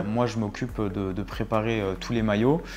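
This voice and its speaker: Fairly quick, fairly even speech from a man at medium pitch, over noticeable background noise. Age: 20s. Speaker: football club kit manager. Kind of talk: casual interview talk. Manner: hesitant, many fillers.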